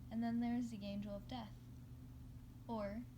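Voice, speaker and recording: Lively intonation marks this woman's very deep, low voice, heard with audible room echo and noticeable background noise. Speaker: amateur fanfiction reader. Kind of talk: reading aloud. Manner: halting.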